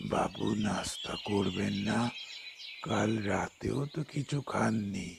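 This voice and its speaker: Using a put-on character voice with a fairly low pitch, a man speaks at a very slow pace over clear background noise. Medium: short film. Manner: deferential, calls master sir.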